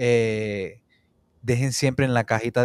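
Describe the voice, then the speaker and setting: A man with an unremarkable speaking voice talks at a fairly slow pace, medium in pitch and fairly even in intonation. The sound is dry with no echo, over a quiet background. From Puerto Rico. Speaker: interview show host. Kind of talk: interview. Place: home room. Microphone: studio mic.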